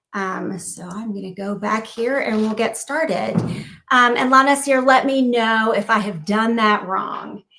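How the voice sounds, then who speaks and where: A woman speaks at a fairly slow pace with an American accent and a fairly high pitch. Her pitch varies in an ordinary way, and there is audible room echo. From US South, South Carolina. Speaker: cognitive psychologist. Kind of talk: lecture.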